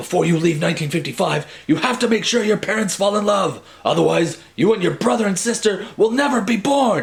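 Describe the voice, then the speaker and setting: Putting on a character voice, a man talks at a high pitch and a fairly quick pace. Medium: read story. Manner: excitable, emphatic.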